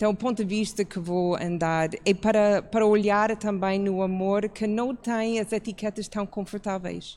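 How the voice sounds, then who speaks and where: A woman talks at a fairly slow pace with hardly any pauses. Her pitch is medium and her intonation is monotone and flat. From outside Portugal. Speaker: church pastor. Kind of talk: public talk.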